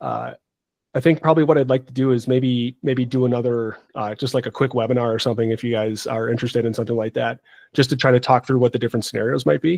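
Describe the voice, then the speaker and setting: Speaking very fast against a quiet background, a man comes through with a dry, close sound and no echo. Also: medium pitch for a man, fairly even intonation. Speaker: market analyst hosting trading call. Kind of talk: live market analysis on group call. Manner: hesitant, many fillers.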